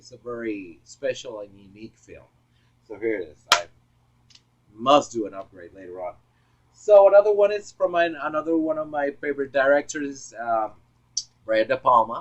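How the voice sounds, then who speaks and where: Speaking in a Puerto Rican accent, a man with a fairly high pitch swings very widely in pitch and loudness, leaving long, frequent pauses. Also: moderate pace. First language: Spanish. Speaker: film collector vlogger. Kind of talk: casual monologue video. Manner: halting, many fillers. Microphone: poor audio, misconfigured external microphone.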